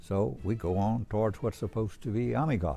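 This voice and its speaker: A man with lively intonation at a moderate pace, music playing in the background. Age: 80s+. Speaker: war veteran. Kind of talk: testimony.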